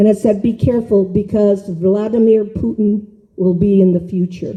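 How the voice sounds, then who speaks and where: A woman's dark, mellow, somewhat breathy voice at a moderate pace, with fairly even intonation and very even loudness. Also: medium pitch for a woman. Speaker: ufology researcher and conference speaker. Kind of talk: conference talk with consecutive interpretation. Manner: halting.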